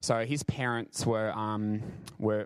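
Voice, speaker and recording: A man speaks with an Australian accent. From Brisbane, Australia. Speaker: professional dancer. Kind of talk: church talk / testimony. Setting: church service with congregation. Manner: halting.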